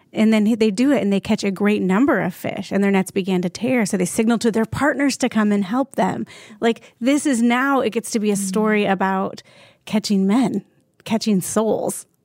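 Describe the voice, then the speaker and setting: A woman's fairly high, unremarkable speaking voice, at a moderate pace with ordinary pitch variation and very even loudness, dry and close with no echo, on a very clean recording with a silent background. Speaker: podcast host. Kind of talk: casual chat.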